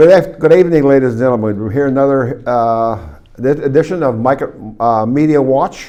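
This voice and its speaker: Moving at a moderate pace, the speech carries a dark, mellow tone. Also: man, medium pitch for a man, ordinary pitch variation. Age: 80s+. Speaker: TV talk show host. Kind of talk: casual chat. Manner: halting, many restarts and fillers.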